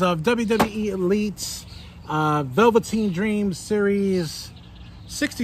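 The sound is dry, with no echo. Light background noise is present. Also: man. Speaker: toy channel host. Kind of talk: casual unboxing vlog chat. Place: garden. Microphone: phone near.

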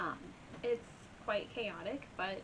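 A woman's voice over noticeable background noise. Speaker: beauty vlogger. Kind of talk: casual story time vlog chat. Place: home room.

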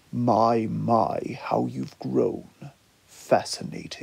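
A man does a put-on character voice with a menacing tone, growling and drawling. He speaks at a very slow pace. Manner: dark, menacing drawl.

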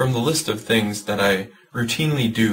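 With a quiet background behind him, a man talks. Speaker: church youth educator. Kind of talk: informational video talk.

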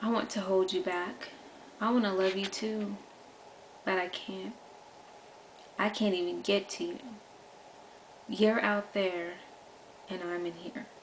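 A woman talks at a fairly slow pace with fairly even intonation, leaving long, frequent pauses over light background noise. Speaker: poet. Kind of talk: poetry performance. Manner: earnest, repetitive, pleading. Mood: soft, melancholic, yearning. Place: home room. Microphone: webcam.

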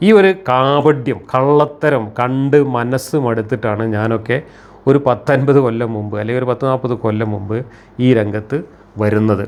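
This is a man with a plain, everyday voice. His pitch sits at a medium level with ordinary pitch variation. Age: 60s. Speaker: rationalist critic of religion. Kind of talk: monologue commentary.

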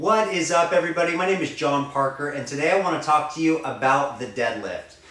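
A man talks at a moderate pace with ordinary pitch variation. Audible room echo surrounds him. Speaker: fitness trainer. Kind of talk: tutorial. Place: home room. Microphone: camera far.

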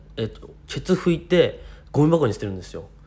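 A man speaks somewhat breathily at a fairly quick pace. His pitch swings very widely. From Japan, Niigata. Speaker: YouTuber. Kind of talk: casual vlog monologue. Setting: hotel room in quarantine. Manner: casual, rambling and run-on.

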